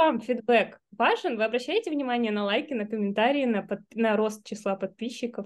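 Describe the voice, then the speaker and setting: Over a quiet background, a woman with an unremarkable speaking voice talks at a moderate pace with hardly any pauses, her pitch fairly high and its variation ordinary. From Arkhangelsk, northern Russia. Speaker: researcher and teacher. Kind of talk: casual interview. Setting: video call.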